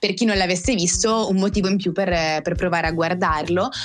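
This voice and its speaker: Over noticeable background noise, a woman with a fairly low pitch speaks at a moderate pace with ordinary pitch variation. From northern Italy, Val Seriana near Bergamo. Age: 20s. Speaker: podcast co-host. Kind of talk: casual chat.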